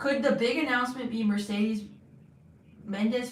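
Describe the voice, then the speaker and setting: This woman talks at a fairly quick pace in a high voice. Room echo is audible, and background noise is noticeable. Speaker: wrestling livestream host. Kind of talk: live watch-along chat. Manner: loud when wearing headphones; halting, many restarts.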